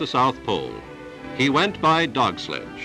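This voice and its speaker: A man at a moderate pace with a fairly high pitch, music in the background. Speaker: newsreel narrator. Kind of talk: mid-century newsreel voiceover narration. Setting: old archival film recording.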